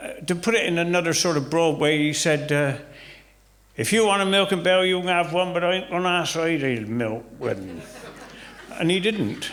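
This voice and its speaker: Speaking at a moderate pace in a West Country accent, a man has a high pitch with ordinary variation. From Somerset, England. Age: 70s. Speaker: retired farmer. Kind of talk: interview answer. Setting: village hall, live audience.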